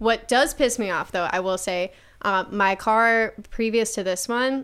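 A woman with an American accent and a fairly high pitch uses a plain, everyday voice at a moderate pace with ordinary pitch variation, in a very clean recording with a silent background. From Buffalo, New York. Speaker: stand-up comedian. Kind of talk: casual chat. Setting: studio.

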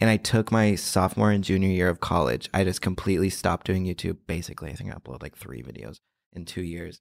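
A man with an American accent speaks at a very fast pace in a very deep, low voice with vocal fry, lively intonation and big swings in loudness. The recording is very clean with a silent background and a dry, close sound with no echo. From Oklahoma, US. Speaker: podcast guest, social media creator. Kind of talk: casual chat. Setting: studio.

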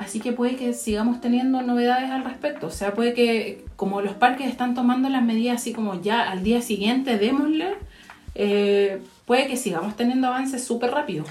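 A woman talks at a fairly quick pace and high pitch. Audible room echo follows her words. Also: ordinary pitch variation. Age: 30s. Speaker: podcast co-host. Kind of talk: casual chat.

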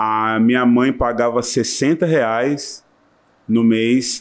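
With a quiet background, a man talks in a medium pitch. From Brazil, Serrana (São Paulo interior). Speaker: musician and music teacher. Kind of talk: casual chat. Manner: talkative.

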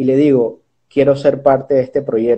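Here is a man with a fairly high pitch and an unremarkable speaking voice. His intonation stays fairly even at a moderate pace. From Panama, Chiriquí. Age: 20s. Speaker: social entrepreneur and bank advisor. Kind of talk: interview.

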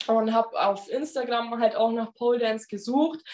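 A woman talks at a fairly slow pace with a high pitch. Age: 20s. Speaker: pole dance instructor. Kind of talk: casual interview conversation.

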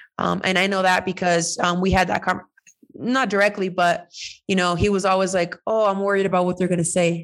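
Speaking with an American accent, a woman keeps a fairly quick pace at a medium pitch. Her intonation is monotone and flat, and her loudness very even. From California, Mexican American. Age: 30s. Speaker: soccer player and podcast co-host. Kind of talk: casual interview conversation. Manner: hesitant, many fillers.

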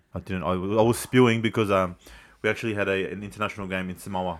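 A man with an Australian accent talks at a very fast pace with a fairly low pitch, in a very clean recording with a silent background. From Sydney inner west, Australia. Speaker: former rugby league player. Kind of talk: casual chat.

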